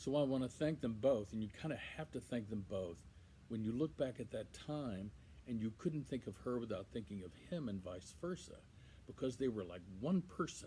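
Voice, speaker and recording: Medium-pitched male voice, dark, mellow and somewhat breathy, with lively intonation at a moderate pace. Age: 60s. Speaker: son giving a eulogy. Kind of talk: eulogy. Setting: outdoors on a patio. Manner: halting, many fillers.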